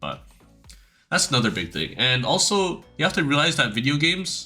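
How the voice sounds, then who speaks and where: A man with a non-native accent talks in a bright, sharp tone, his pitch swinging very widely. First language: not English. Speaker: youtuber, former competitive gamer. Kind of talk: casual advice monologue. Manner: hesitant, many fillers and restarts.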